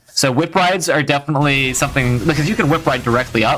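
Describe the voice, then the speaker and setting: The speech runs at a very fast pace. Noticeable background noise sits behind it. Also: man. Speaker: streamer. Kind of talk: live stream commentary and gameplay advice. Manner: animated.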